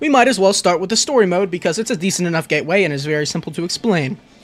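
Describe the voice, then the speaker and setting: Animated in tone, a man speaks in a high pitch with lively intonation. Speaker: video game youtuber. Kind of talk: scripted video essay. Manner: stammering when unscripted.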